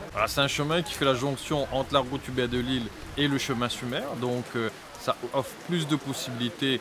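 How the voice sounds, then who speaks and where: Amid noticeable background noise, a man talks at a moderate pace and a medium pitch. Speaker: local elected official. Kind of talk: news interview.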